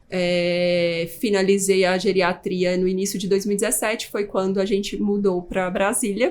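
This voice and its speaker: A woman speaks with hardly any pauses. Her intonation is monotone and flat. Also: medium pitch for a woman, moderate pace. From Brazil, Pará and Goiânia. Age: 30s. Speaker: geriatric doctor. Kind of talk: podcast interview.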